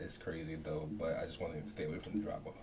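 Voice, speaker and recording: The man is soft-spoken. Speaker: reaction video creator. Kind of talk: casual talk to camera.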